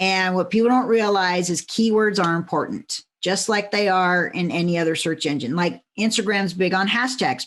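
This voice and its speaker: Against a quiet background, a woman with an unremarkable speaking voice talks at a moderate pace, her medium pitch carried by lively intonation. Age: 50s. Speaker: LinkedIn consultant and business coach. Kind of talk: interview.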